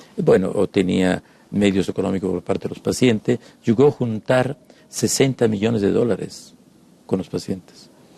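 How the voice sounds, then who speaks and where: The man's fairly low pitch and dark, mellow tone come through a dry, close sound with no echo. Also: ordinary pitch variation. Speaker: psychoanalyst. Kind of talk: casual chat. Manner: fast.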